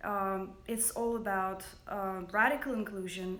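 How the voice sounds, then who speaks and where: A woman's medium-pitched voice carries audible echo from the room. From Russia. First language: Russian. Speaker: makeup company founder. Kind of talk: livestream monologue. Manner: hesitant, many fillers.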